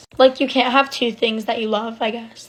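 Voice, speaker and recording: With noticeable background noise, a woman speaks at a moderate pace and a fairly high pitch. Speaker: storytime vlogger. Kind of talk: casual chat. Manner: frequent filler 'like'.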